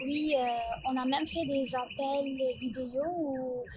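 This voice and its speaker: In a non-native accent, a woman speaks at a high pitch with monotone, flat intonation. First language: not French (speaking French). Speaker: graduate of online high school. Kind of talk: interview testimony. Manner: hesitant, many fillers.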